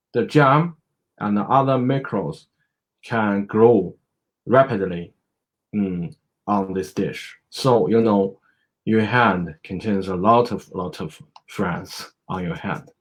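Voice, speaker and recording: With a Chinese accent, a man speaks in a fairly low pitch with ordinary pitch variation. He goes at a very slow pace with long, frequent pauses. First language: Mandarin Chinese. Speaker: medical doctor. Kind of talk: educational presentation. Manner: halting, many fillers.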